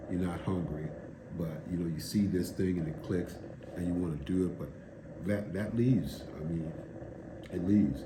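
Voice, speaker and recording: With long, frequent pauses and ordinary pitch variation, a man speaks at a very deep, low pitch amid audible room echo. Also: moderate pace. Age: 60s. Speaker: video blogger documenting a fast. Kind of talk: casual monologue vlog. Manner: casual, halting with fillers.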